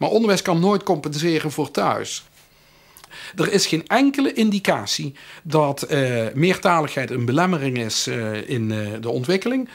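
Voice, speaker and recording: A man speaks at a moderate pace with a Limburg accent. His pitch swings very widely. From Limburg, Netherlands. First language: Limburgish (speaking Dutch). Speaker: professor. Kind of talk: interview. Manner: halting, many filler sounds.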